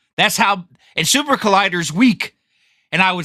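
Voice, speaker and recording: A man with a high pitch raises and projects his voice, the tone bright and sharp and the intonation lively. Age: 50s. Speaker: podcast co-host. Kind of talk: casual chat. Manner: halting.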